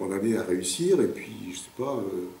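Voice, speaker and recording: A man at a very slow pace with ordinary pitch variation, audible room echo and noticeable background noise. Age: 50s. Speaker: interviewee with a stutter. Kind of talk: documentary interview. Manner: halting, with repetitions and blocks; hesitant, many fillers.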